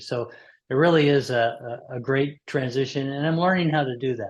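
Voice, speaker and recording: A man with a plain, everyday voice talks at medium pitch and a moderate pace, with ordinary pitch variation. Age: 60s. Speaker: retired engineering director turned consultant. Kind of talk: interview conversation.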